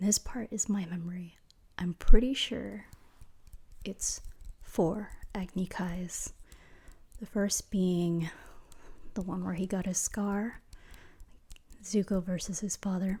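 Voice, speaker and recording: Quiet whispering moves at a very slow pace with long, frequent pauses. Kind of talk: ASMR trivia ramble to the listener. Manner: quiet, whispered.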